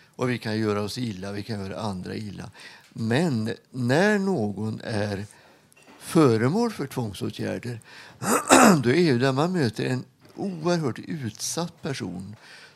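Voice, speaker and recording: A man speaks at a medium pitch with lively intonation. His pace is fairly slow, and background noise is noticeable. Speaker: retired hospital chaplain. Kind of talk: interview. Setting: studio with live audience.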